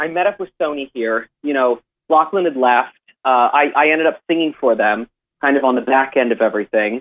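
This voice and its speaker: Here is a man with an ordinary speaking voice and an American accent. His pitch is fairly high and his pace fairly quick. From US, Miami, Florida. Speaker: singer-songwriter. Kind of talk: casual interview. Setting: phone call. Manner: chatty, filler-heavy.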